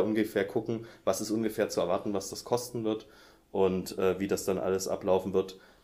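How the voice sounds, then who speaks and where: With a dark, mellow tone and a fairly low pitch, a man speaks at a fairly quick pace and with fairly even intonation. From Saxony, near Dresden. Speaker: music publishing editor. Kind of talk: interview.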